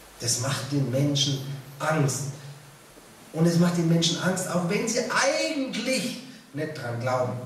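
The speaker talks at a fairly slow pace, with very wide swings in pitch. Audible room echo and light background noise surround the voice. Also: man. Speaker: preacher. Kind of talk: sermon. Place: church.

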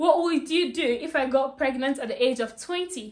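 A woman speaks at a high pitch. Her pace is moderate and her pitch variation ordinary. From Ghana. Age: 20s. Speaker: vlogger interviewing her mother. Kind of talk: casual talk to camera. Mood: playful, laughing. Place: home room. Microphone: camera far.

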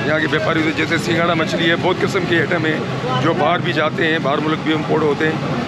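A man talks at a moderate pace over loud background noise. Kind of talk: interview answer. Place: market. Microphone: lapel.

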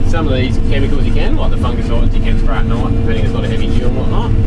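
Over loud background noise, a man talks very fast with hardly any pauses. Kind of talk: casual conversation. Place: farm machine. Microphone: phone near.

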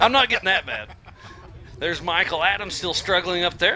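Against noticeable background noise, a man with a Southern US accent speaks at a high pitch with ordinary pitch variation. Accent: Southern drawl. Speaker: race commentator. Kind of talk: live commentary.

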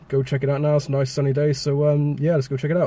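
A man's monotone, flat delivery at a very fast pace, dry with no echo. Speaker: urban explorer vlogger. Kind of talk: casual vlog chat. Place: car. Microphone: phone near.

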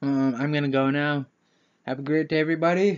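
A fairly high-pitched man with fairly even intonation, at a moderate pace, over a quiet background. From Canada. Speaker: YouTuber; vlogger. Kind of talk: casual vlog taste test. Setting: home kitchen. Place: home room. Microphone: webcam.

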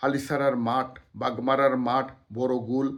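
With a medium pitch, a man keeps his intonation fairly even. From Bangladesh, Sylhet region (Sunamganj). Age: 50s. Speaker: local writer and commentator. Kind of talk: solo talk to camera. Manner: halting, with many pauses.

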